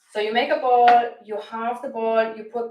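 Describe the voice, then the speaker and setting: With a German accent, a woman of fairly high pitch speaks at a moderate pace with fairly even intonation, and audible room echo surrounds her voice. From Germany (Bavaria, Franconia). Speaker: cooking channel host, plant-based health coach. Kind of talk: live cooking demonstration. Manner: casual, somewhat halting.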